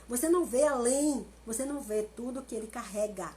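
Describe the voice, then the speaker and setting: A woman's animated tone amid audible room echo. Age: 50s. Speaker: family constellation therapist. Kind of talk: live stream talk.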